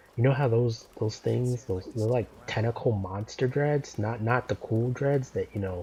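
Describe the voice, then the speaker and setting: Speaking at a moderate pace with hardly any pauses, a man's somewhat breathy voice carries a dark, mellow tone and fairly even intonation. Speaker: gaming YouTuber. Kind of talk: let's play gameplay commentary. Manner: casual, rambling with fillers and repetitions.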